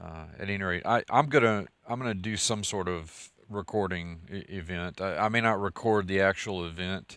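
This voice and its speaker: A man's fairly low voice in a West Texas accent, with fairly even intonation. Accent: West Texas drawl. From West Texas (Merkel). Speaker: scholar and channel host. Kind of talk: casual video update. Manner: halting, many fillers and repetitions.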